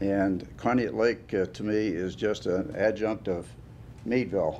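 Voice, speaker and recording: With a western Pennsylvania accent, a man speaks fairly slowly in a dark, mellow tone and fairly even intonation. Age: 80s+. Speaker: award recipient, construction businessman. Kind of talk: acceptance speech. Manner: halting.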